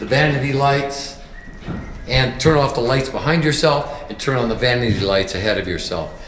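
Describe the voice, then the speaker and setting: Noticeable background noise and audible room echo surround a man whose fairly high voice varies in pitch in an ordinary way. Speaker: construction manager. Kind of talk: home walkthrough tour. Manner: halting, some stumbles.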